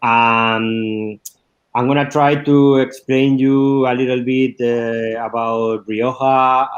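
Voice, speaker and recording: In a Spanish accent, a man talks at a very slow pace with fairly even intonation. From Spain, La Mancha. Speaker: wine export manager. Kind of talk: wine tasting presentation. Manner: halting, many fillers.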